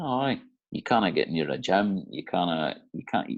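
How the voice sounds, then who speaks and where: A man with an Aberdeen accent at a moderate pace, quiet background. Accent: Scottish (Aberdeen). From Aberdeen, Scotland. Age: 30s. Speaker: offshore electrician. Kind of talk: interview answer.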